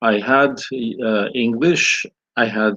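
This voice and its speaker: A man speaks at a very slow pace with a Ukrainian accent. The background is quiet. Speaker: priest and scholar. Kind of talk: interview. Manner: halting.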